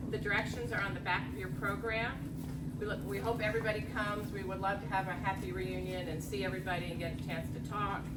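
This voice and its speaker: Loud, very fast female speech with audible room echo and noticeable background noise. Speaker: event organizer. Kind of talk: announcement. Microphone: no microphone.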